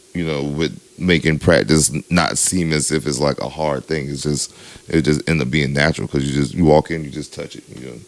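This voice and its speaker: With a very deep, low pitch, a man speaks at a fairly quick pace using fairly even intonation while his loudness swings widely. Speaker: DJ, podcast co-host. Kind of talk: casual chat. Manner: casual, lots of filler.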